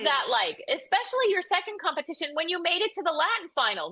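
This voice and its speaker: A woman speaks with a raised, projected voice at an extremely high pitch and a fairly quick pace, her tone upbeat, bright and sharp. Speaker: podcast host. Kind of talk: casual podcast talk.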